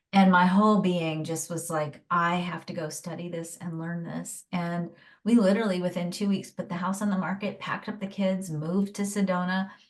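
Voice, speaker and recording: A woman with a fairly low, somewhat breathy voice speaks in a monotone, flat intonation. She goes at a moderate pace with hardly any pauses. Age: 50s. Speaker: human design teacher and former nurse. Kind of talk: interview.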